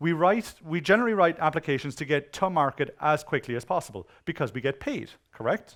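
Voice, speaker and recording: Speaking with an Irish accent, a man uses an animated tone at a fairly high pitch and a moderate pace, in a very clean recording with a silent background. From Ireland. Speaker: conference speaker on web security. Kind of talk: conference talk. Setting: stage with audience.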